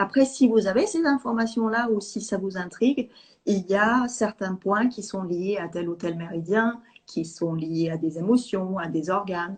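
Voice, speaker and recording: At a fairly slow pace, a woman with a medium pitch and a somewhat breathy voice speaks with ordinary pitch variation. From Sweden. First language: Swedish (speaking French). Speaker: EFT teacher. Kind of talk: interview. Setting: live video call.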